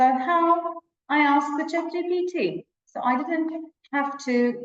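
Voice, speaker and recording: A woman with a Turkish accent. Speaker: English teacher educator, webinar presenter. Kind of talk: webinar lecture. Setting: online webinar with shared screen.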